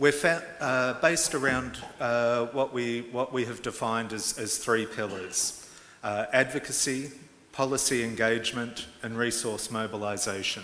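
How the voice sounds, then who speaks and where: A man with an Australian accent speaks at a fairly slow pace, medium pitch and fairly even intonation. Noticeable background noise and audible room echo fill the recording. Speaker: advocacy organisation executive director. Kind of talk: conference presentation. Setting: conference hall with interpreters. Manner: halting, many fillers.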